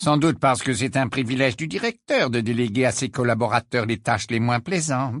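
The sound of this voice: Pitch variation is ordinary in this unforced reading voice.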